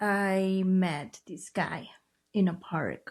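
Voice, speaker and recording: A woman speaks at a medium pitch. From Chiapas, Mexico. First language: Mayan language (Spanish second). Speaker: trafficking survivor and advocate. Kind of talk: testimony. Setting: podcast interview.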